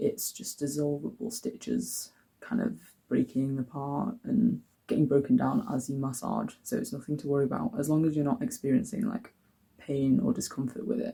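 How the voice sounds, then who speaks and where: A dark, mellow, vocal-fried voice with an English accent, very wide pitch swings and a moderate pace. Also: man, fairly high pitch for a man. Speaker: vlogger. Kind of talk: casual vlog talk. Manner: chatty, with fillers.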